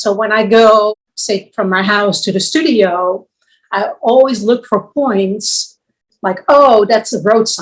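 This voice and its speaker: Here a woman speaks at a very slow pace. Her pitch varies in an ordinary way. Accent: Dutch. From Netherlands. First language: Dutch. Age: 60s. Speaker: visual artist. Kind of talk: interview. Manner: halting.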